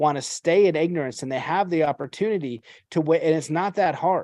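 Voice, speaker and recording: Over a quiet background, a man with an unremarkable speaking voice talks at a fairly high pitch and a moderate pace, with ordinary pitch variation and a dry, close sound with no echo. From Canada. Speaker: podcast host. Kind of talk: casual interview chat.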